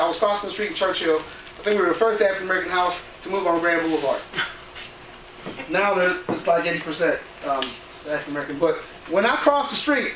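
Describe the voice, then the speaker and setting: Talking very fast yet with long, frequent pauses, a man uses a high pitch with ordinary variation, amid noticeable background noise and audible room echo. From Cameroon, raised in US from age five. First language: non-English. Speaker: educator, presenter on cultural awareness. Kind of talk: presentation to school staff. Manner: conversational, addresses audience directly.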